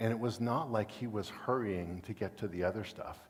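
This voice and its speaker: With audible room echo, a man speaks at a medium pitch and a moderate pace, his pitch varying in an ordinary way. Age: 60s. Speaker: guest preacher. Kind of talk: sermon. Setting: church.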